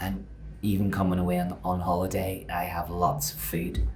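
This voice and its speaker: A man with a very deep, low pitch and a Northern Irish accent, at a moderate pace, amid audible room echo and noticeable background noise. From Northern Ireland. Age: 50s. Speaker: fitness coach. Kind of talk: podcast interview.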